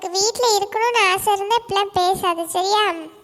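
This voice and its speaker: A woman's cartoonish character voice at an extremely high pitch and moderate pace, with music in the background. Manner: teasing, quick-tempered.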